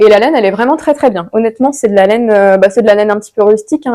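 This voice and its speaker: Talking very fast, a woman has a fairly high pitch, a dark, mellow tone and ordinary pitch variation. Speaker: knitting podcaster. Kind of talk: casual solo video podcast. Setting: home recording to camera. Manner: hesitant, many fillers.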